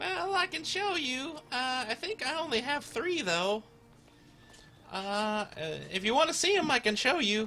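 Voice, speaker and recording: Using a put-on character voice, a man speaks at an extremely high pitch with very wide pitch swings at a moderate pace. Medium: actual play. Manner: hesitant, halting.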